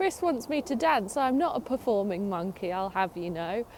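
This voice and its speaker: Very wide pitch swings in an English accent, at a moderate pace. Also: woman. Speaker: narrowboat vlogger. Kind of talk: casual chat. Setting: outdoors. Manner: soft-spoken.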